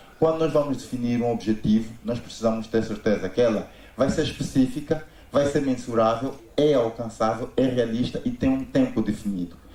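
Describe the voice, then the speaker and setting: With audible room echo, a man speaks at a moderate pace in a medium pitch, his tone dark and mellow and his pitch variation ordinary. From Angola. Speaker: business consultant. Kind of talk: conference talk.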